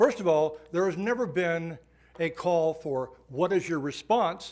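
With ordinary pitch variation, a man speaks at a high pitch. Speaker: public commenter. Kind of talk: public comment statement. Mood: critical, argumentative. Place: hall. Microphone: podium.

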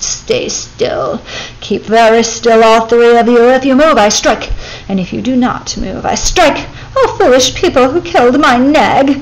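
A woman puts on a character voice, high in pitch and at a moderate pace. Hissing and clear background noise run under it. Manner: menacing, triumphant.

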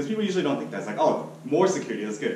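Over light background noise and audible room echo, a man talks with very wide pitch swings. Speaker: student giving a speech. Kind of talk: storytelling speech. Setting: meeting room with audience. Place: classroom. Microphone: camera far.

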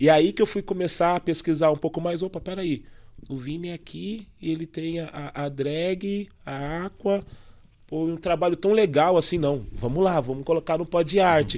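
A man speaks at a moderate pace with high pitch and ordinary pitch variation. His loudness swings widely against a quiet background. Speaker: podcast host and poet; podcast host, poet. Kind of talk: casual chat. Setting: studio. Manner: animated. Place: studio. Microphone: studio mic.

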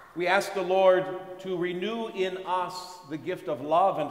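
Audible room echo surrounds a man's voice. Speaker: priest leading Mass. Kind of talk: liturgical prayer reading.

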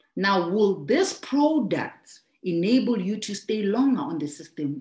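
A woman's pitch swings very widely. The background is quiet, with audible room echo. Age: 30s. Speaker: network marketing trainer. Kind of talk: business training talk. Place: home room. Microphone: video call.

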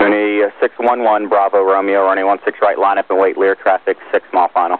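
Recorded dry and close with no echo, a man talks fast at a low pitch with little pitch movement.

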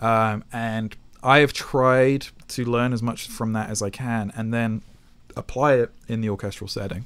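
The speaker has a British accent and talks at a fairly slow pace with fairly even intonation. The recording is very clean, with a silent background. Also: man, medium pitch for a man. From Britain. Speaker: film and video game composer. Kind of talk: interview. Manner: hesitant with many fillers.

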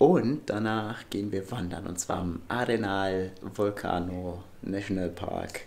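Ordinary pitch variation in a man's fairly low voice. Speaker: travel vlogger. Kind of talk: casual vlog chat. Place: home room. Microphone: phone near.

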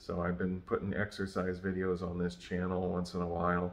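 Here a man is speaking. His pace is fairly quick. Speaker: channel host. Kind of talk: casual vlog chat. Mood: relaxed, lightly amused. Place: home room. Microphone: phone near.

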